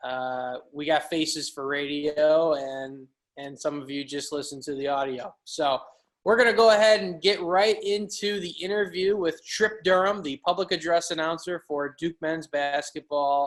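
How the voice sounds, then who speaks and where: A man with a slight Chicago accent speaks at a fairly high pitch with ordinary pitch variation. He goes at a fairly slow pace, with big swings in loudness. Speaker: podcast host. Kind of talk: casual podcast chat.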